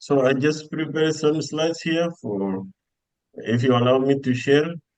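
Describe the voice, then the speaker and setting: This man has an Arabic accent. He talks at a fairly slow pace. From Sudan. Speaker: PhD scholar and lecturer. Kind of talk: online webinar talk. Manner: halting.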